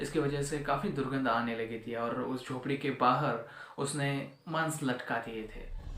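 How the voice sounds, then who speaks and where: A man speaks at a fairly high pitch with fairly even intonation and hardly any pauses. Noticeable background noise and audible room echo are present. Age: 20s. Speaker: storyteller. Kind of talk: storytelling.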